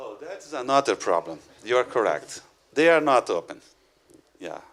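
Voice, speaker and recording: At a moderate pace, a man speaks with big swings in loudness. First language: not English. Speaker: educator and conference speaker. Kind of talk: conference Q&A. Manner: halting.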